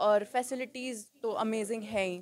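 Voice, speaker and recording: Speaking at a medium pitch, a woman keeps her intonation fairly even. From Haryana, Rohtak. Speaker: dancer and fitness enthusiast. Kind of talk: interview at salon opening. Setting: salon opening event.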